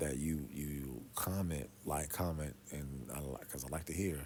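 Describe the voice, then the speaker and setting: Soft-spoken and very deep, a man talks at a fairly slow pace with ordinary pitch variation. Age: 50s. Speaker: pastor. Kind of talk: casual monologue. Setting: quiet room.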